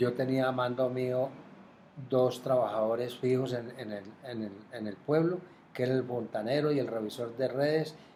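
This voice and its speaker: Audible room echo surrounds a man speaking at a medium pitch and moderate pace with fairly even intonation. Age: 70s. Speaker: retired water utility administrator. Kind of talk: interview. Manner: halting, with repetitions.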